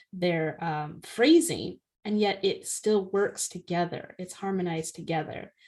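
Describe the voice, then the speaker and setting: A woman with an ordinary speaking voice, medium pitch, fairly even intonation and a fairly slow pace. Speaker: podcast co-host, author. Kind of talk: casual chat. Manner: fluent, lightly filled with ums.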